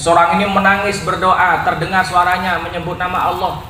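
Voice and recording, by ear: A man talks at a fairly quick pace in a fairly high pitch, his tone bright and sharp, with audible room echo.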